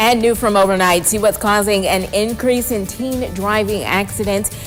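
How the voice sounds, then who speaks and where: Music runs behind a woman's voice. She has a medium pitch and talks at a moderate pace. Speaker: news anchor and reporter. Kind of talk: local TV morning news anchoring. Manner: polished, upbeat broadcast delivery.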